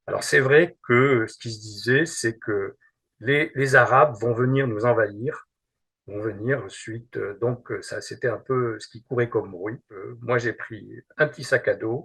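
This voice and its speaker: A man talks at a very slow pace with big swings in loudness, over a quiet background. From Algeria, Algiers (pied-noir). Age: 70s. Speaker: witness recounting memories. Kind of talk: testimony. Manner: halting, with many repetitions.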